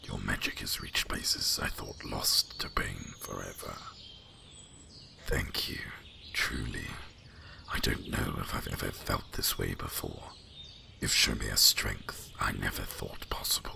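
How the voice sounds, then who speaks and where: Moderate pace in a put-on character voice. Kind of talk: ASMR fantasy roleplay. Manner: soft.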